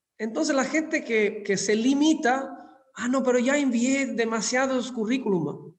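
With audible room echo, a man talks at an extremely high pitch, using ordinary pitch variation. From southern Italy (Scilla, Calabria). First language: Italian (speaking Spanish). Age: 50s. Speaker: hotel industry executive. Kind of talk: interview.

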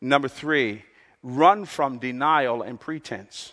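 The man's voice sits fairly high, with ordinary pitch variation. He speaks very slowly against a quiet background. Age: 60s. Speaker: pastor. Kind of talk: sermon. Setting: church.

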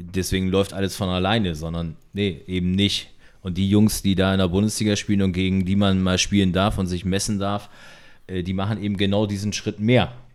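A man speaks in a very deep, low voice with monotone, flat intonation. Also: moderate pace. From northern Germany, Delmenhorst. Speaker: former handball player. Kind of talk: casual chat. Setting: at a home, recorded over beer.

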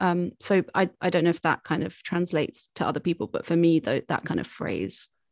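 A woman speaks in a southern English accent with vocal fry and fairly even intonation. The sound is dry and close with no echo over a quiet background. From southern England. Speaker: singer-songwriter. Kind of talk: interview.

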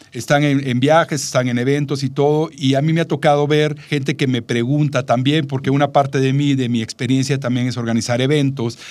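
In a flat monotone, a man with a fairly high voice talks at a fairly quick pace. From Mexico, Veracruz port. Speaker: travel podcast co-host. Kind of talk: casual chat.

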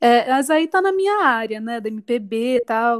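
A woman speaks at a very slow pace in a high pitch. The recording is very clean and dry, close with no echo, over a silent background. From Sorocaba, interior of São Paulo state, Brazil. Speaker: singer-songwriter and cultural producer. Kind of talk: casual interview.

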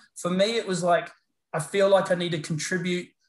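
Fairly quick speech from a man with a New Zealand accent and a high pitch, over a quiet background. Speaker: paramedicine lecturer and researcher. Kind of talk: interview chat. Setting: video call.

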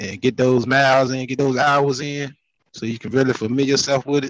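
A man with a plain, everyday voice at medium pitch and a fairly quick pace. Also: dry, close sound with no echo. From Virginia (Southampton County, Emporia). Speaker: truck driver. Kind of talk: casual chat.

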